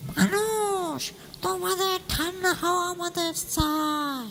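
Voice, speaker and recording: Someone puts on a character voice and speaks very slowly. Background noise is clearly audible. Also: female-sounding voice, extremely high pitch for a woman. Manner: menacing.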